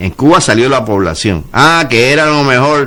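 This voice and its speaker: A man speaking at a fairly slow pace, ordinary pitch variation, audible room echo. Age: 70s. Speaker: community association president. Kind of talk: radio interview. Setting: radio studio.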